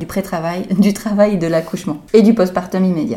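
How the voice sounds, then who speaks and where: Her tone is dark and mellow, set at a medium pitch. The woman keeps a moderate pace with fairly even intonation. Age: 30s. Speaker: midwife. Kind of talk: interview, expert advice.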